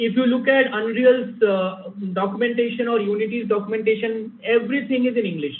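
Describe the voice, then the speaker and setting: A man with a Bengali accent speaks fairly quickly at a high pitch with fairly even intonation, amid noticeable background noise and audible room echo. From India, Bengali-speaking. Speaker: game developer, guest lecturer. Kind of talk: lecture Q&A.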